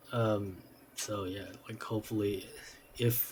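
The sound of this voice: His voice is fairly low-pitched, with a dark, mellow tone and little pitch movement.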